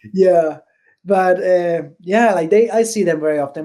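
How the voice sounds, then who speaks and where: A man with a Spanish accent, high in pitch, his intonation fairly even. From Venezuela. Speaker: bowler and bowling industry employee. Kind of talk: podcast interview. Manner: hesitant, many fillers.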